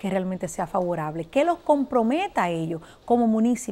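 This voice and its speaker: The delivery comes at a fairly quick pace with a dark, mellow tone. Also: woman. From Dominican Republic. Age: young. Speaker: politician. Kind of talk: interview. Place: studio. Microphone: lapel.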